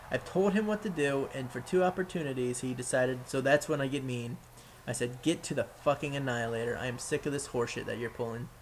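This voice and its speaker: Somewhat breathy, a man talks at a very fast pace with a medium pitch and ordinary pitch variation. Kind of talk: gameplay commentary. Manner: casual, profane.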